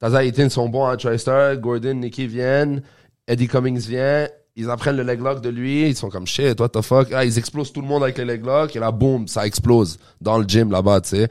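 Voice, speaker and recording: With a Quebec accent, a man speaks at a moderate pace and fairly even intonation in a very clean recording with a silent background. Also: medium pitch for a man. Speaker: podcast host, jiu-jitsu gym member. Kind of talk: casual interview.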